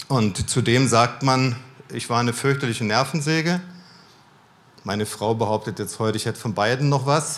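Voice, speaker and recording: A man at a moderate pace with ordinary pitch variation and long, frequent pauses. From Germany, mixed (Cologne, Berlin, Baden-Württemberg). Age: 50s. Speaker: missionary speaker. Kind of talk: sermon. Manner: calmer, less dynamic.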